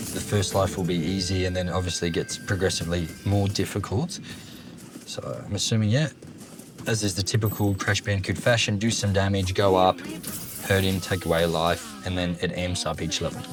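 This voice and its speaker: A man with an Australian accent speaks in a very deep, low pitch at a fairly quick pace. His intonation is fairly even, and there is noticeable background noise. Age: 30s. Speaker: gaming YouTuber. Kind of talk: let's play commentary with casual storytelling. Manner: casual, filler-heavy.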